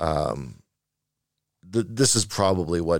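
Very deep and low, a man's voice shows vocal fry and very wide pitch swings in a very clean recording with a silent background. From Canada, Vancouver. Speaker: video game art producer. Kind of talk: interview conversation.

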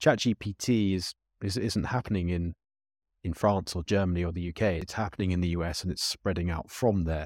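A man's very deep, low voice in a British accent at a fairly quick pace, with ordinary pitch variation, in a dry, close sound with no echo and a very clean recording with a silent background. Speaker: podcast host and policy consultant. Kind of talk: interview.

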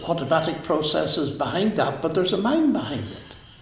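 Heard with audible room echo and noticeable background noise, a man speaks with a Northern Irish accent. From Northern Ireland. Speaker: mathematician and author. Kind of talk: interview. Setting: in person at a college.

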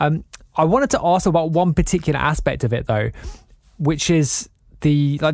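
The speaker is a man with an English accent. The recording is very clean, with a silent background. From England. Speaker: podcast host. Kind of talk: casual interview.

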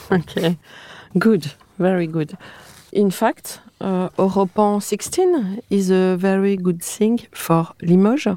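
Recorded with a dry, close sound and no echo, a woman speaks at a very slow pace in a medium pitch, her tone dark and mellow, with ordinary pitch variation. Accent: French. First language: French. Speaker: podcast host, architecture historian. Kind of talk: interview.

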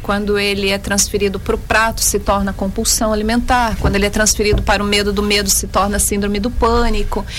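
Noticeable background noise and audible room echo around a woman talking at a moderate speed. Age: 40s. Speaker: psychotherapist. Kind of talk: interview.

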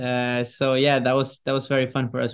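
Against a quiet background, a man with a medium pitch speaks in a Norwegian accent at a moderate pace. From Norway. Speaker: pop singer. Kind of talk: interview. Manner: halting.

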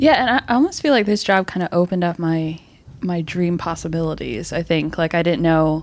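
A woman's normal speaking voice, fairly low-pitched, at a fairly quick pace. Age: 20s. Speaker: production assistant. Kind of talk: casual chat.

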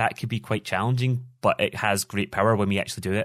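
Speaking at a very fast pace, a man with a Scottish accent talks at a medium pitch. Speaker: business coach. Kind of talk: casual interview. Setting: remote call.

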